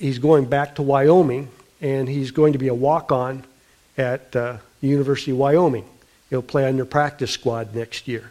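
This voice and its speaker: This man has a dark, mellow tone and an American accent, talking at a moderate pace and a medium pitch with fairly even intonation. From US Midwest (South Dakota). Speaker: pastor. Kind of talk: sermon. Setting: church.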